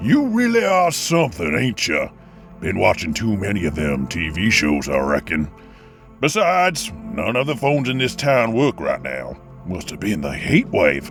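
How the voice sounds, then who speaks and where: A raspy, put-on character voice swings very widely in pitch at a moderate pace. Clear music plays in the background. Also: man, medium pitch for a man. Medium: audio drama. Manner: drawling, sarcastic.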